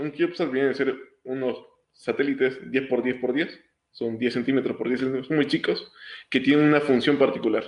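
A man speaks at a moderate pace and medium pitch with fairly even intonation. His is a normal speaking voice. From Honduras, Tegucigalpa. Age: 20s. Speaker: engineering student. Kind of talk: interview.

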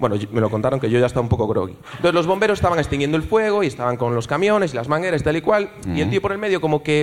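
Over noticeable background noise, a man with a fairly high pitch talks at a very fast pace with hardly any pauses, very wide pitch swings and an animated, theatrical tone. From Galicia (Ourense, Vigo). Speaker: audience member telling a story. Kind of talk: comedic storytelling on stage. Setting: stage with live audience.

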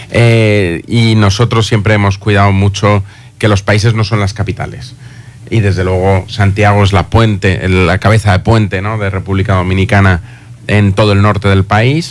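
Intonation stays monotone and flat throughout. A man with a fairly low pitch speaks at a moderate pace. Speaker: university institute director. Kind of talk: radio interview. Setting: radio studio.

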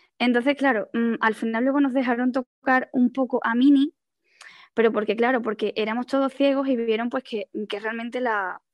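Against a quiet background with a dry, close sound and no echo, a woman with a Spanish accent speaks at a moderate pace in a high, monotone, flat voice. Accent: Peninsular Spanish. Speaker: blind panelist. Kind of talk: online panel discussion.

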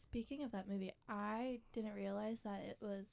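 With an ordinary speaking voice, a woman speaks at a moderate pace, her medium pitch held in fairly even intonation. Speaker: barista. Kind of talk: casual chat.

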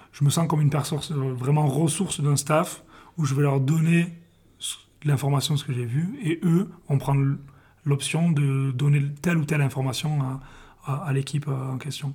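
A man's fairly high, somewhat breathy voice with fairly even intonation and long, frequent pauses. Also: moderate pace. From southern France, Perpignan. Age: 20s. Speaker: football video analyst. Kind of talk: interview. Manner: halting, frequent hesitations.

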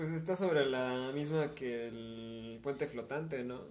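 A man speaks at a medium pitch with ordinary pitch variation. Audible room echo surrounds his voice. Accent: Mexican. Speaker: podcast host and singer. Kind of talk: casual chat. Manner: hesitant, many fillers.

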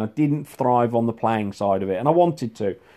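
A man with an English accent talks at a fairly quick pace and a medium pitch. His tone is dark and mellow, with ordinary pitch variation. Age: 50s. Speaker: former real tennis professional and coach. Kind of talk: monologue reminiscence. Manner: hesitant, lots of ums.

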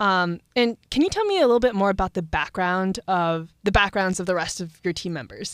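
An ordinary speaking voice from a woman with hardly any pauses, dry and close with no echo, in a very clean recording against a silent background. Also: medium pitch for a woman, ordinary pitch variation, fairly quick pace. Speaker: student podcast host. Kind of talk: interview. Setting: studio.

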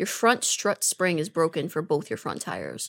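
A woman's fairly low voice with vocal fry, an animated tone and lively intonation, in a dry, close sound with no echo. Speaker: podcast co-host. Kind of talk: casual chat.

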